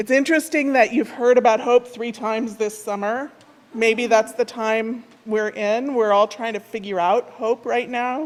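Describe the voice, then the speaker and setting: Speaking at a fairly high pitch, a woman has a plain, everyday voice. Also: fairly even intonation, moderate pace. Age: 60s. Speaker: minister. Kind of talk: sermon. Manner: conversational.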